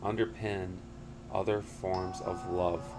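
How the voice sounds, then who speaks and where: A man's fairly low voice with ordinary pitch variation carries audible room echo. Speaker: podcast host. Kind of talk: podcast monologue reading prepared text.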